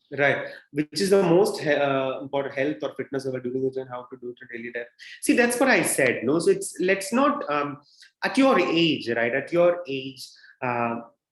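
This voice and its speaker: A man with a plain, everyday voice, fairly high pitch, lively intonation, big swings in loudness and a moderate pace. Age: 30s. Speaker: fitness expert. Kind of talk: Q&A session with students.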